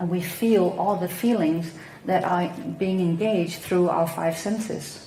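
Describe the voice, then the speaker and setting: Against noticeable background noise and audible room echo, a woman with a Danish accent speaks at a fairly low pitch and a very slow pace, her intonation fairly even. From Denmark. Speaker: psychotherapist. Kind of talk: talk on spiritual teaching.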